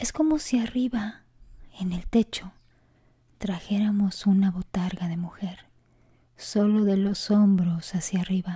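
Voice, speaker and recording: Long, frequent pauses break up speech that moves at a very slow pace. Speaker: storyteller reading listener-submitted stories. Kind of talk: ghost story telling. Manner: hushed, suspenseful narration.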